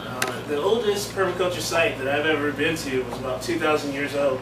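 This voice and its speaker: Against loud background noise, a man speaks at a moderate pace with ordinary pitch variation. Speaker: presenter. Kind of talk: lecture. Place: classroom. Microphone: camera far.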